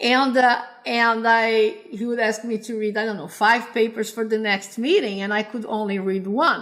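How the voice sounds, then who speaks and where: A woman speaks with a Brazilian Portuguese accent. Her pitch is fairly high. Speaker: computer science professor. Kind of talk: interview. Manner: halting, many repetitions.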